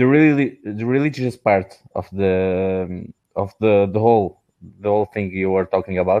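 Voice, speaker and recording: A man with a non-native accent, fairly low in pitch, at a moderate pace. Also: ordinary pitch variation. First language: not English. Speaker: caller, computer technician. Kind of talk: call-in comment. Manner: halting, stammering.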